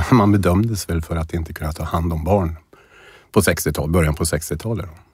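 This man's voice is somewhat breathy and very deep, with a very low pitch. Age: 50s. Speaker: person with early-onset Alzheimer's. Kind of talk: personal interview, testimony. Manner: halting, many repetitions and fillers.

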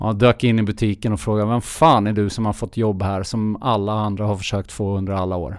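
A man's ordinary speaking voice, fairly low in pitch with fairly even intonation, in a very clean recording with a silent background. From Sweden, raised partly abroad (Finland, Australia, Geneva). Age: 50s. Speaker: endurance sports entrepreneur. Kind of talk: interview.

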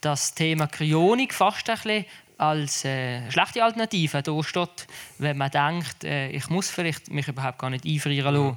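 A man talks at a moderate pace in a plain, everyday voice, fairly high in pitch with ordinary pitch variation. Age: 30s. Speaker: cryonics association board member. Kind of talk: panel discussion.

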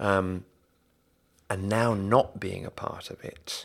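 Speaking with fairly even intonation, a man uses a fairly low pitch. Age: 40s. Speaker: stage actor and producer. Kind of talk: interview.

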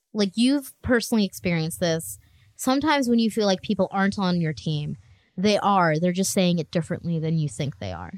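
A woman speaks at a fairly quick pace in a plain, everyday voice. Her medium pitch carries lively intonation. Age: 20s. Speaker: podcast co-host; IT professional. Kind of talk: casual chat.

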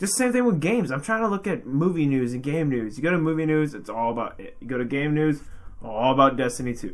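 A man's plain, everyday voice, fairly high in pitch, with lively intonation at a moderate pace. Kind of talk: casual chat. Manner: joking, banter-heavy.

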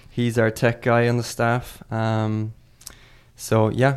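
With an Irish accent, a man speaks at a medium pitch in a monotone, flat intonation. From Ireland. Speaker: assistant soccer coach. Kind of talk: casual chat.

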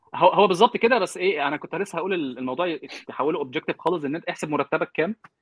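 Intonation is lively as a man rattles along at a very fast pace. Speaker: software engineer. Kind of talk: casual chat. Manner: talkative, interrupts others.

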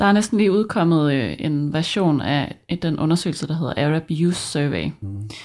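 A woman speaks at a fairly slow pace with hardly any pauses, her pitch very deep and low. Her intonation is lively, and the recording is very clean with a silent background. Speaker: podcast host. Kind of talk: scripted narration.

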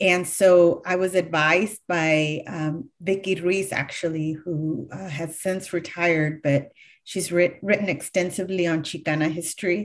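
With a Californian accent, a woman speaks at a fairly low pitch and a fairly slow pace, her intonation fairly even, against a quiet background. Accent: Californian American English. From California, Sacramento County (Galt). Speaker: history professor and author. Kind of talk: interview.

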